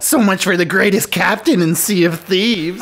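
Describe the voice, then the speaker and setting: In a put-on character voice, a female-sounding speaker uses medium pitch at a moderate pace. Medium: machinima. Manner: dim, gleeful, menacing.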